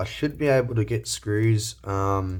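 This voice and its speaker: This man's voice sits at a medium pitch, somewhat breathy, with fairly even intonation. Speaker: electronics repair youtuber. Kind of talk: tutorial. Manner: casual, halting with fillers.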